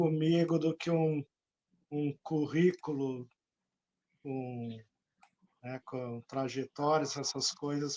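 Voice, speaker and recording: A man's dark, mellow voice, fairly high for a man, with fairly even intonation, at a very slow pace with long, frequent pauses, in a dry, close sound with no echo. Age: 60s. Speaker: journalist and author. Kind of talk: interview. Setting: live stream.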